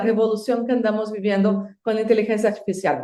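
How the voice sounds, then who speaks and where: Flat, monotone intonation marks this woman's fairly high voice, which has a dark, mellow tone. Room echo is audible. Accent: Brazilian. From Brazil. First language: Portuguese (speaking Spanish). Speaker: university administrator. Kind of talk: guest book recommendations.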